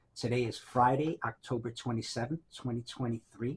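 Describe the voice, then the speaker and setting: This man's voice is medium in pitch and somewhat breathy. His intonation stays fairly even. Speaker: librarian and archivist. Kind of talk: interview questions.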